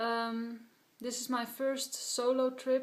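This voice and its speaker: A woman talks with a Dutch accent. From Netherlands. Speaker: hiker vlogger. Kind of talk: gear tutorial. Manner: halting, many filler sounds.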